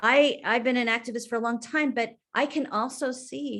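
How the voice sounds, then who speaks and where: A woman speaks with an American accent. Her pitch is high. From San Francisco, California. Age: 60s. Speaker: city librarian. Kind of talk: panel discussion.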